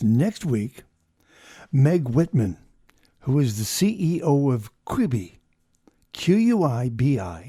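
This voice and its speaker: Very slow, somewhat breathy speech from a man at medium pitch, dark and mellow in tone, with very wide pitch swings and long, frequent pauses, on a very clean recording against a silent background. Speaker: podcast host. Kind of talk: interview questions.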